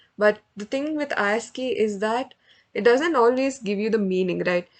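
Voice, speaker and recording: Against a quiet background, a woman with a fairly high pitch talks at a moderate pace with ordinary pitch variation. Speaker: student club tutor teaching NLP. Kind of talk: online lecture / workshop session. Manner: rambling, hesitant with fillers.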